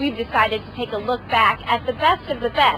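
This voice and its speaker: Her pitch is high and her intonation lively as the woman speaks at a fairly quick pace. Noticeable background noise runs underneath. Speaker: military newscast host. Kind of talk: news anchor delivery.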